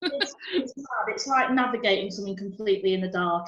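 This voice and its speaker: In a Yorkshire accent, a woman speaks very fast with ordinary pitch variation over noticeable background noise. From Harrogate, Yorkshire, England. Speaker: stand-up comedian. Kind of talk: interview answer. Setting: video call.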